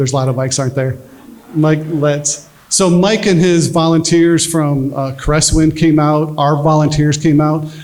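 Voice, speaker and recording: Amid noticeable background noise and audible room echo, a man speaks with a fairly high pitch and fairly even intonation. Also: moderate pace. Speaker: military veteran and charity founder. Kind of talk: fundraiser speech. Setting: fundraiser dinner with audience. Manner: quiet.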